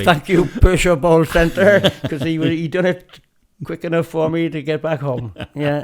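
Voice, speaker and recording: Speaking at a moderate pace, a man with a fairly high voice keeps his intonation fairly even. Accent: Welsh. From Pembrokeshire, Wales. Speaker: lawn and indoor bowler. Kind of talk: interview answer.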